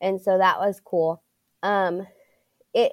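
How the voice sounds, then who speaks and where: An American accent at a fairly slow pace, dry and close with no echo. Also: woman. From Pittsburg, Kansas, US Midwest. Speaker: school student support coordinator. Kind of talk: interview.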